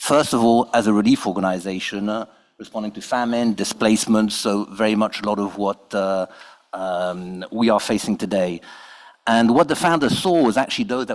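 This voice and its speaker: At a fairly low pitch, a man speaks with ordinary pitch variation. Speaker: NGO representative. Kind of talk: panel discussion. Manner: fast.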